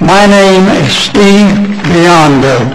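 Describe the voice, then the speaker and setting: A man talks with an American accent. Noticeable background noise and audible room echo are present. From South Florida. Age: 80s+. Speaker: public commenter. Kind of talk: public comment. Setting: council meeting at a microphone. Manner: halting.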